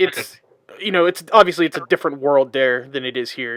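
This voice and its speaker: A man talks at a medium pitch in a plain, everyday voice, with lively intonation and a fairly quick pace. The sound is dry and close, with no echo. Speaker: podcast host. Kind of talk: casual podcast conversation.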